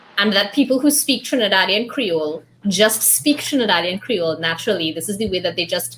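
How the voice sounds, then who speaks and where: A woman's lively intonation and fairly quick delivery come through above noticeable background noise. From Trinidad and Tobago. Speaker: book club host. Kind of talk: casual group discussion. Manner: animated.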